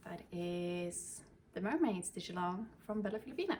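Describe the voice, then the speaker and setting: A woman in a Swedish accent speaks at a fairly slow pace, her medium pitch showing ordinary variation. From Sweden. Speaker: cross-stitch vlogger. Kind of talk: casual show-and-tell vlog. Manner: halting, with fillers.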